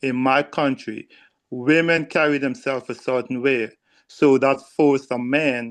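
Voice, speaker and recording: An unremarkable speaking voice from a man, medium-pitched, with fairly even intonation and a moderate pace. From outside the US. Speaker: discussion participant. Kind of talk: casual group discussion.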